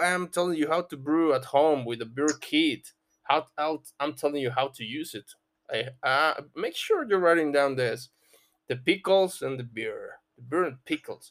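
A man speaks in a fairly high voice with a Spanish accent. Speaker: podcast host running an English reading club. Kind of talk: casual chat.

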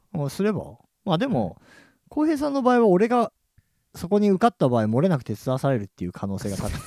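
Very fast and high-pitched, a man's voice has a dark, mellow tone and very wide pitch swings, recorded dry and close with no echo against a silent background. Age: 40s. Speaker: local podcast host and DJ. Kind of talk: casual chat. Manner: animated.

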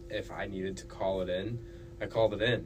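A man at a moderate pace, with audible room echo and noticeable background noise. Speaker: student podcast co-host. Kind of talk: casual chat.

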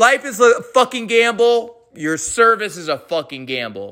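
A man with a high pitch raises and projects his voice in a bright, sharp tone with lively intonation. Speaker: veteran podcaster. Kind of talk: angry rant. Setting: home with dog barking. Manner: loud, profane, aggressive; heated, repetitive, stumbling over words.

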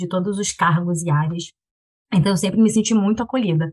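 A woman's somewhat breathy voice rushes along very fast. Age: 30s. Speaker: product manager, mother. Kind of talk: casual chat.

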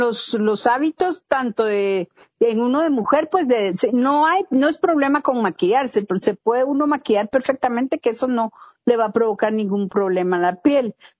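Dry and close with no echo, a woman's high voice moves at a fairly slow pace with lively intonation. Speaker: dermatologist. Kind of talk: interview.

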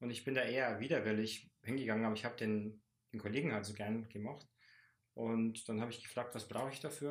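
In a very clean recording with a silent background, a man of medium pitch rattles off words at a very fast pace in a flat monotone. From Lower Bavaria, Landshut. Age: 30s. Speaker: teacher and climber. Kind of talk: casual interview.

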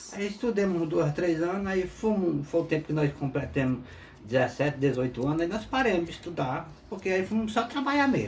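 Amid noticeable background noise, a man with a high pitch talks at a moderate pace, his pitch swinging very widely. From rural Piauí, Brazil. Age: 50s. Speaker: interviewee, former farm worker. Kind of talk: interview testimony. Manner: halting.

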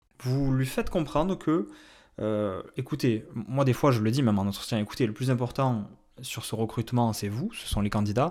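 A man's medium-pitched voice at a moderate pace with ordinary pitch variation, on a very clean recording against a silent background. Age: 30s. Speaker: independent recruiter, podcast host. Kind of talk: solo podcast advice talk. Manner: hesitant, many fillers.

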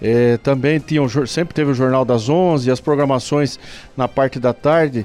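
At a moderate pace, a man with a normal speaking voice talks at a medium pitch with fairly even intonation and very even loudness. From Brazil, Indaiatuba (São Paulo state). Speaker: mayor. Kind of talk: radio interview. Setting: radio studio.

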